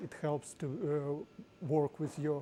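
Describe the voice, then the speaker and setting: A woman speaks with a strong Ukrainian accent, her voice very deep and low-pitched. The delivery is very slow, with a dark, mellow tone. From Ukraine. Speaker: tech company executive presenting at meetup. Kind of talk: tech talk presentation. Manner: halting.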